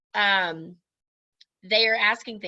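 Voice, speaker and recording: A loud woman's voice, bright and sharp, over a quiet background. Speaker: direct sales team leader. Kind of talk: training talk to her sales team. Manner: casual, chatty.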